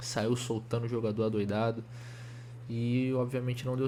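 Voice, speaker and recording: Somewhat breathy and dark and mellow in tone, a man speaks at medium pitch with monotone, flat intonation amid audible room echo. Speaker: football fan commentator. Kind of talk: casual video commentary. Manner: fast; halting, many restarts.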